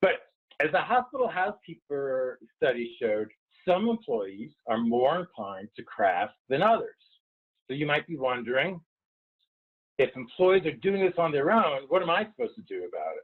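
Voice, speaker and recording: Speaking with a slight New York accent, a man with a fairly high pitch moves at a moderate pace through very wide pitch swings. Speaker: wellness consultant. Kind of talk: webinar presentation.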